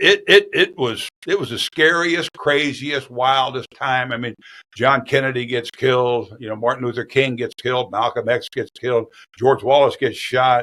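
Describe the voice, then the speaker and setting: A man with an American accent, medium pitch and a bright, sharp tone, fairly even intonation at a moderate pace, in dry, close sound with no echo. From US Midwest (small-town Iowa). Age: 70s. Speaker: retired sports anchor. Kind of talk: interview conversation.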